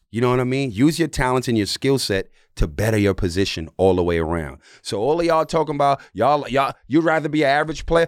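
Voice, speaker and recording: A man with a New York accent talks at a fairly quick pace with very wide pitch swings. The recording is very clean, with a silent background. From New York City. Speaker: former basketball player and podcast host. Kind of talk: casual chat.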